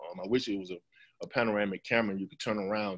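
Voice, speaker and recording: A man speaks against a quiet background. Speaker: school farm program manager. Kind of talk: webinar presentation. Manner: fast.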